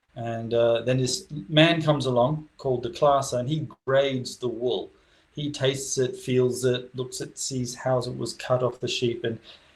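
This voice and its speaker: A man's somewhat breathy voice at a medium pitch, with fairly even intonation and a moderate pace. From Western Australia, Esperance. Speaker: deacon. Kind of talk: interview.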